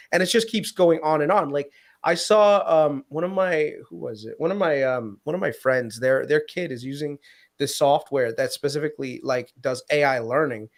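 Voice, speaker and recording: On a very clean recording with a silent background, a man with a fairly high pitch talks at a moderate pace with lively intonation. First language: Gujarati or Hindi. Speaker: finance podcast co-host. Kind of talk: casual chat.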